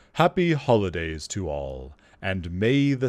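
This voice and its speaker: A man with a very deep, low pitch speaks at a fairly slow pace, his pitch swinging very widely. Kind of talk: bedtime story. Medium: audio drama.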